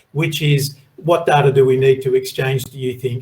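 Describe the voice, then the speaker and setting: Speaking at a moderate pace with an Australian accent, a man uses ordinary pitch variation. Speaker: moderator. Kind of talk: panel discussion.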